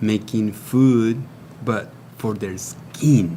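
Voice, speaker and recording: A Spanish accent heard with audible room echo. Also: man. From Mexico, Baja California. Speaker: natural wellness product maker. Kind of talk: TV interview.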